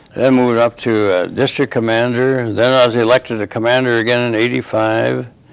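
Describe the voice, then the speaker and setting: A man with an Upper Midwest accent speaks with fairly even intonation. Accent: Upper Midwest American. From North Dakota. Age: 70s. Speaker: war veteran. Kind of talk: oral history interview. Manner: halting.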